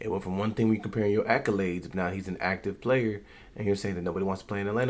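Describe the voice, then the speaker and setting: A man talks quietly in a fairly low pitch, keeping his intonation fairly even. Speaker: YouTube sports commentator. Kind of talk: casual reaction commentary. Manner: quiet, keeping voice down.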